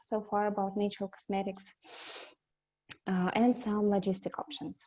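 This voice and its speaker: A woman speaks with a Russian accent in a dark, mellow tone. The background is quiet. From Russia, Siberia. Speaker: company representative. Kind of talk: webinar presentation. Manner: halting, many fillers.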